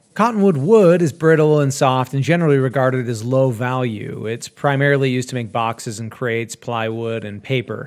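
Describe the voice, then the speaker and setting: With an American accent, a man talks at a fairly quick pace with hardly any pauses and ordinary pitch variation in a normal speaking voice. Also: medium pitch for a man. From Utah. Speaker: woodworker and content creator. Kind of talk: scripted narration.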